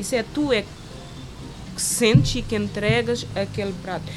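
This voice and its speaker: A woman speaks at a fairly slow pace. Noticeable background noise is audible. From Cape Verde, Santo Antão island. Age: 30s. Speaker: chef. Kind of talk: interview. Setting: outdoor terrace by the sea.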